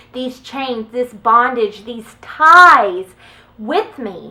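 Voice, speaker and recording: Over noticeable background noise, a woman speaks in a high voice with ordinary pitch variation. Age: 20s. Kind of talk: casual talk to camera. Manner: occasional stutter.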